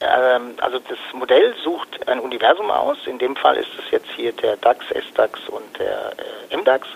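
The voice has vocal fry and very wide pitch swings. The pace is moderate. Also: man, medium pitch for a man.

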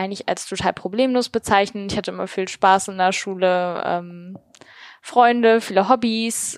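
In a very clean recording with a silent background and a dry, close sound with no echo, a woman with an unremarkable speaking voice talks at a fairly slow pace, at a medium pitch with ordinary pitch variation. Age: 20s. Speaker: podcaster and master's student. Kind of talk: interview.

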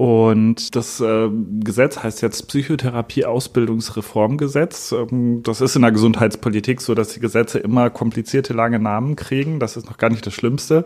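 A man at a moderate pace, medium in pitch, slightly mellow in tone, with fairly even intonation and few pauses

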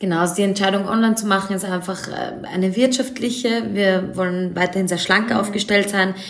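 Fairly quick speech with fairly even intonation, audible room echo and noticeable background noise. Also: woman, medium pitch for a woman. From Austria, Vienna. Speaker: fashion designer and author. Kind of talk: interview.

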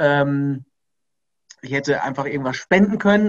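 A man talking at a fairly quick pace, fairly high in pitch, with ordinary pitch variation. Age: 30s. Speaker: entrepreneur and company founder. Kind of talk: interview. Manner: hesitant with frequent fillers.

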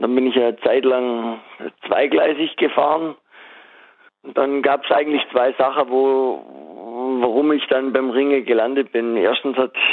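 This man talks at a fairly slow pace, with medium pitch and fairly even intonation. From Swabia, southwest Germany. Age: 30s. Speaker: former wrestler and wrestling coach, master butcher. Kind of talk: casual interview.

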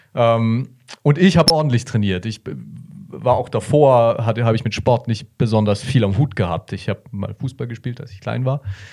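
At a moderate pace, a man speaks in a dark, mellow, somewhat breathy tone, with ordinary pitch variation and big swings in loudness. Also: medium pitch for a man. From Bavaria, Germany. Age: 20s. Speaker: long-distance cyclist. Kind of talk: interview. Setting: studio.

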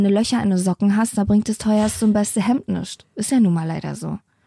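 The recording is very clean, with a silent background. A woman speaks at medium pitch in a somewhat breathy voice with a dark, mellow tone. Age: 30s. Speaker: podcast co-host. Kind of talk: casual chat. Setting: home attic.

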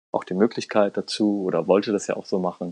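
A man's monotone, flat intonation at a moderate pace, in a dry, close sound with no echo. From Germany. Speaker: Iran studies expert and intercultural consultant. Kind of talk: podcast interview. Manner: hesitant, many fillers.

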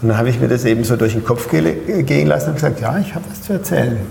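There is audible room echo and noticeable background noise. Through it, a man speaks at medium pitch. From Pforzheim, Baden-Württemberg, Germany. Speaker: business coach and speaker. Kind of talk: interview.

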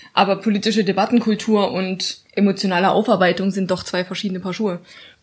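At a very fast pace, a woman speaks in a monotone, flat way, her medium-pitched voice somewhat breathy. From Saxony, Dresden. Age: 20s. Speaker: podcast host, lecturer. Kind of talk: casual chat.

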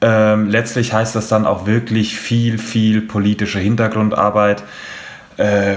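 A man talks at a very slow pace with a fairly low, monotone, flat delivery. Noticeable background noise is present. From Frankfurt, Hesse. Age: 20s. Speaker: football fan representative. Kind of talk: podcast discussion.

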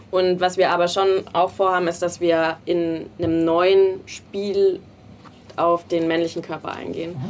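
Her fairly low voice stays monotone, the woman's intonation flat throughout. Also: fairly slow pace. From small town in Bavaria. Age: 20s. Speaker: designer and game co-founder. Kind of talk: interview.

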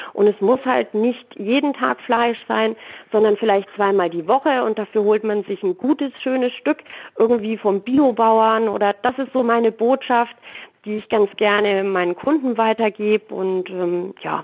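At a fairly slow pace, a woman speaks at a fairly high pitch with ordinary pitch variation. The recording is very clean with a silent background, and the sound is dry and close with no echo. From Franconia, Nuremberg. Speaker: food truck owner. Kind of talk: interview.

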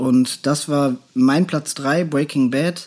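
Ordinary pitch variation marks this man's fairly high voice. He has an unremarkable speaking voice. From Germany, North Rhine-Westphalia. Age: 30s. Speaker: podcast co-host. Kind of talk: casual chat.

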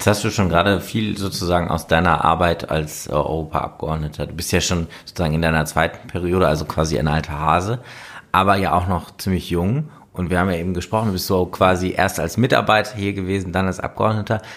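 A man talks at a fairly quick pace in a very deep, low voice, his pitch varying in an ordinary way. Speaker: podcast host, member of European Parliament. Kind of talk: interview conversation. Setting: European Parliament.

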